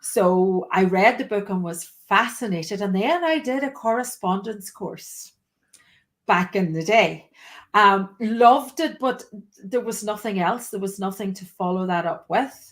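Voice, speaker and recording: Speaking with a Donegal accent, a woman uses a medium pitch and lively intonation at a fairly slow pace. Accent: Donegal Irish. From Ireland, County Donegal. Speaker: teacher. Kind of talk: interview.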